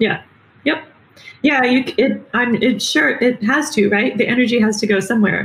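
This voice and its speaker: A woman with an American accent speaks in a high voice with ordinary pitch variation. Her pace is moderate and her loudness very even. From US Midwest, Michigan. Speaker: marine biologist. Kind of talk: interview.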